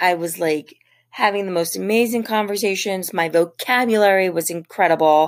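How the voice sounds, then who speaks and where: In an American accent, a woman with a normal speaking voice talks in a fairly low pitch with ordinary pitch variation. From Philadelphia, US. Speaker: podcast host. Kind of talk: solo monologue.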